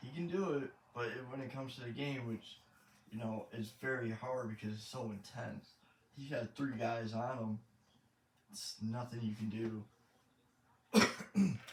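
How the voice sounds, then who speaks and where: In an American accent, a man talks at a fairly slow pace with long, frequent pauses, a medium pitch, ordinary pitch variation and a somewhat breathy sound. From Michigan, US. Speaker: gaming YouTuber, truck driver. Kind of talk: gameplay commentary. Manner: halting, awkward pauses.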